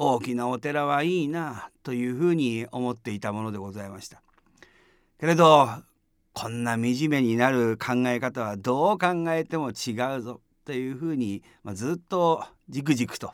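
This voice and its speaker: A plain, everyday voice from a man at medium pitch, with ordinary pitch variation, a moderate pace and big swings in loudness, on a very clean recording with a silent background. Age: 60s. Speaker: Buddhist priest. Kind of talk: dharma talk. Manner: calm, measured with fillers.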